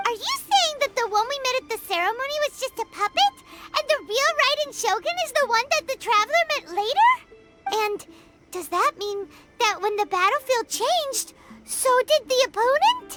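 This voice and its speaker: An extremely high-pitched put-on character voice talks at a moderate pace. Loud music plays in the background. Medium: video game. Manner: inquisitive.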